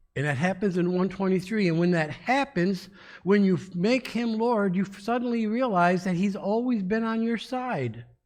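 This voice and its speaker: There is audible room echo as a man speaks at a moderate pace. His pitch is high, with ordinary variation. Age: 60s. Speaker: pastor. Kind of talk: sermon. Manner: halting.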